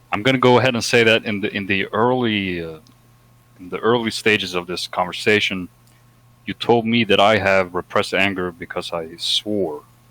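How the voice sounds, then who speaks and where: With a Swedish accent, a man speaks at a fairly low pitch in a bright, sharp tone, his intonation fairly even but his loudness swinging widely. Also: moderate pace. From Sweden. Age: 20s. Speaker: discussion guest. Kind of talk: heated debate. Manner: halting.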